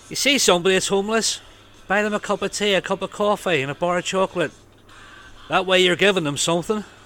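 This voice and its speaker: Speaking very fast in a raised, projected voice, a man with a Northern Irish accent has a high pitch, a bright, sharp tone and ordinary pitch variation. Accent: Northern Irish (Belfast). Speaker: rock radio DJ. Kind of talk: radio DJ links between songs. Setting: radio studio. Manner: casual, chatty.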